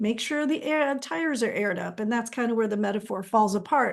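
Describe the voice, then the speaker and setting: A woman speaks in a normal speaking voice, fairly high in pitch with ordinary variation, against a quiet background. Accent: American. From Texas. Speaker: counseling trainer. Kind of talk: online training webinar. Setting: live stream. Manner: conversational, with fillers.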